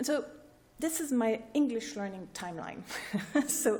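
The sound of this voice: A woman speaks at a moderate pace with lively intonation and a fairly high pitch. Her tone is dark and mellow.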